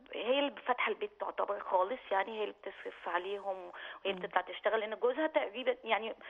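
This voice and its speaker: Speaking at a very fast pace with an Egyptian accent, a woman has a fairly high voice with ordinary pitch variation. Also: hardly any pauses. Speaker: caller. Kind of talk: phone-in question.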